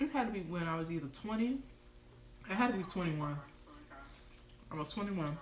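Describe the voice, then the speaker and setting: Talking at a very fast pace with an animated tone and very wide pitch swings, a woman leaves long, frequent pauses, while audible room echo and noticeable background noise fill the recording. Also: medium pitch for a woman. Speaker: lifestyle vlogger. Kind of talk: casual livestream storytime. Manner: casual, animated.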